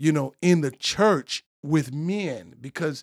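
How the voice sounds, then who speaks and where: A man with a plain, everyday voice and a fairly high pitch speaks at a fairly slow pace with ordinary pitch variation, in a very clean recording with a silent background and a dry, close sound with no echo. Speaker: preacher, bishop. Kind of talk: casual conversation, preaching tone. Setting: studio.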